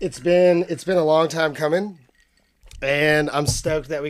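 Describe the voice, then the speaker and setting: A man speaks at a fairly quick pace with a fairly high pitch. It is a normal speaking voice. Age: 30s. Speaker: podcast host. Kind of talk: casual chat. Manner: casual, filler-heavy speech.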